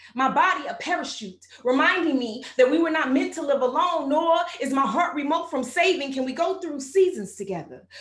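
Audible room echo surrounds a woman with an American accent, her high pitch paired with lively intonation. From Texas. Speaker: spoken word poet. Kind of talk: spoken word poetry performance. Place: studio.

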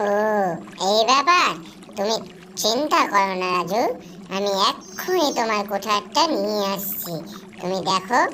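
A female-sounding, cartoonish character voice at medium pitch moves at a fairly slow pace over clear background noise. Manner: warm, motherly.

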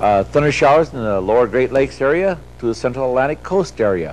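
A man talks at a fairly quick pace. His intonation is lively over light background noise. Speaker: TV presenter. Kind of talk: broadcast weather forecast. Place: studio.

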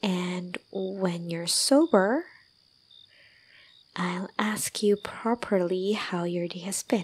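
Soft-spoken and soothing in tone, the voice moves at a very slow pace. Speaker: voice actor performing a character. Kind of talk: roleplay audio drama, intimate comforting talk. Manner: soft, tender, soothing ASMR voice.

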